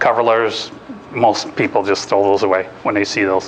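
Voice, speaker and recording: A man speaks at a fairly low pitch. The recording carries noticeable background noise and audible room echo. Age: 50s. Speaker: job search workshop speaker. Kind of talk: lecture. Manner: casual, with frequent fillers and restarts.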